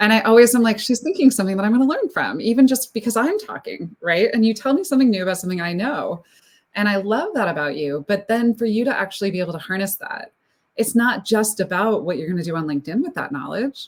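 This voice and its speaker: The speaker talks at a very fast pace with very wide pitch swings. The voice is somewhat breathy. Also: woman, fairly high pitch for a woman. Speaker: speaker coach and consultant. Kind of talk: live-streamed panel conversation.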